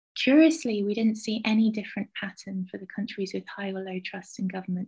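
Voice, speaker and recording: Somewhat breathy, a woman's medium-pitched voice carries ordinary pitch variation at a moderate pace. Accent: southern English. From southwest England, Somerset. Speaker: university lecturer and researcher. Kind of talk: interview.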